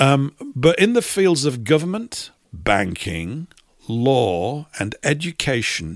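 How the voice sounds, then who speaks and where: A man with an English accent speaks at a very slow pace and fairly high pitch. His pitch swings very widely, in a very clean recording with a silent background. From England. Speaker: radio host. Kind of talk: live radio talk show.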